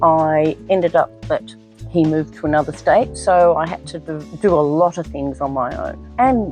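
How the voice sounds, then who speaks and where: A woman's voice in an Australian accent at a moderate pace, with music in the background. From Australia (Victoria). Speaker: gardener and decluttering business owner. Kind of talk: casual talk to camera, personal introduction.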